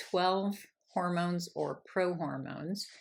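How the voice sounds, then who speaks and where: At a fairly slow pace, the speech comes through on a very clean recording with a silent background. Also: woman. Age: 60s. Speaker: menopause coach. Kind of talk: casual talk to camera. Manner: conversational with fillers.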